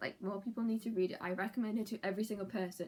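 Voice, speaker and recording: A woman with a British accent, medium-pitched and very fast. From UK. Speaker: book vlogger. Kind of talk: casual vlog talk. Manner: animated.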